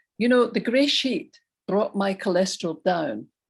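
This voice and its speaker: A woman's somewhat breathy, medium-pitched voice at a moderate pace, with very wide pitch swings and a quiet background. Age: 70s. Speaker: recovery group speaker. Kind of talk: testimony.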